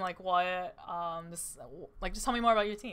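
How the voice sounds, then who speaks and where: With an American accent, a woman talks at a very fast pace in a bright, sharp tone. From Wisconsin. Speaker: esports tournament caster. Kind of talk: post-match interview.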